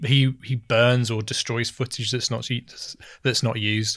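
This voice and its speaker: A man talks at a fairly quick pace in a medium pitch. It is an ordinary speaking voice. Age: 30s. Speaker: podcast co-host. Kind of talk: casual chat.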